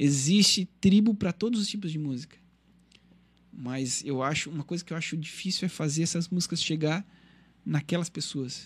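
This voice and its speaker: A fairly high-pitched man with ordinary pitch variation and long, frequent pauses, in a very clean recording with a silent background. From Criciúma, Santa Catarina, southern Brazil. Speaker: singer and musician. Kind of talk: radio interview, casual chat.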